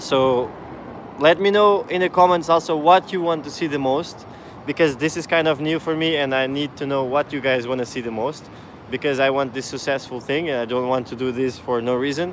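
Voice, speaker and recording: Over noticeable background noise, a man with a non-native accent speaks at a fairly quick pace and a fairly high pitch. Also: ordinary pitch variation. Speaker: parkour coach and YouTuber. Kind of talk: live stream Q&A. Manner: casual, halting with restarts.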